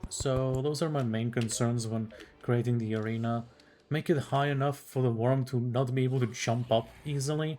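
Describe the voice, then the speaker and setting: The speaker has a non-native accent and a relaxed tone. The pace is moderate. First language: not English. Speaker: gaming youtuber. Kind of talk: gameplay commentary. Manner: casual, relaxed.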